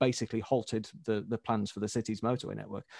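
Speaking at a very fast pace and medium pitch, a man with a Yorkshire accent uses monotone, flat intonation, recorded dry and close with no echo over a quiet background. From Leeds, northern England. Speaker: road website author. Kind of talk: casual chat.

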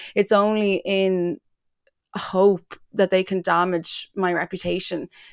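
A woman speaks with an Irish accent in a flat, monotone delivery. The recording is very clean, with a silent background. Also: dry, close sound with no echo. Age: 30s. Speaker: entertainment website founder and journalist. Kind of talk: casual interview.

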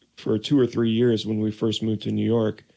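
Medium in pitch, a man speaks with an American accent. His intonation is monotone and flat. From Oregon, US. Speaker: trumpet player and composer. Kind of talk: casual interview chat. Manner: calm.

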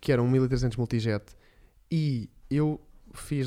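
This man's tone is dark and mellow. His pitch varies in an ordinary way. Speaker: podcast co-host. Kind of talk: casual chat.

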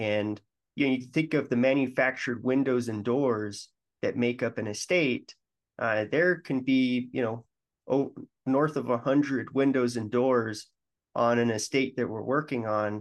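A man with an American accent speaks at a medium pitch and a fairly slow pace, in an ordinary speaking voice with fairly even intonation against a quiet background. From Colorado, Denver. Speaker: franchise founder. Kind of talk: interview.

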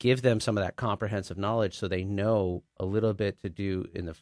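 A man with an American accent and a fairly low pitch talks at a fairly quick pace in a normal speaking voice, the sound dry and close with no echo over a quiet background. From Texas, Dallas area. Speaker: physician. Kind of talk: interview. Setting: studio.

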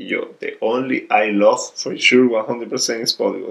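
The speaker has a Venezuelan accent. The pace is moderate. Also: man. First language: Spanish. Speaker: volleyball player. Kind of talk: casual interview. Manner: halting.

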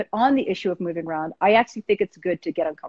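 A woman speaks in an ordinary speaking voice at a fairly quick pace, with lively intonation. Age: 50s. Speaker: writer and poet. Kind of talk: interview.

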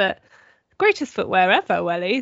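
Vocal fry runs through this woman's voice. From southern England. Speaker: magazine editor. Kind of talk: casual chat.

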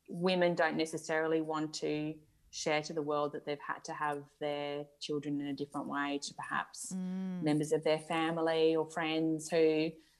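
A woman with a very deep, low pitch and an Australian accent speaks at a moderate pace in a monotone, flat intonation. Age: 40s. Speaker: mother sharing fertility story. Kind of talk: casual interview.

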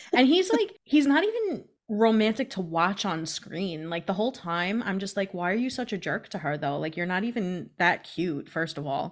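A woman speaks in a plain, everyday voice at medium pitch, with lively intonation and a moderate pace. There are hardly any pauses, and the recording is very clean with a silent background. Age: 30s. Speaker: podcast co-host. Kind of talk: casual chat. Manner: laughs often.

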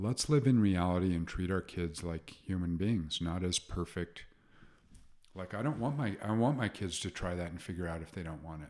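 On a very clean recording with a silent background, a man speaks in a very deep, low voice. He keeps a moderate pace with ordinary pitch variation. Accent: American. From Utah, US. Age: 50s. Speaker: podcast guest. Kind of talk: casual chat.

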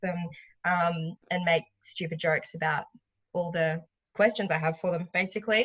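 A woman with a fairly low pitch and an Australian accent speaks at a fairly slow pace with fairly even intonation. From Sunshine Coast, Queensland, Australia. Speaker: stand-up comedian and podcaster. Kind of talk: casual interview chat.

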